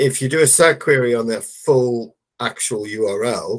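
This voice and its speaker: Here a man speaks with an English accent. The background is quiet. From England. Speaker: SEO consultant. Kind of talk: casual chat. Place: home room.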